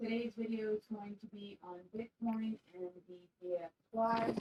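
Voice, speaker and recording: Fairly even intonation in a dry, close sound with no echo. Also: woman. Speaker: crypto market analyst. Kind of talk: tutorial. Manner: slow.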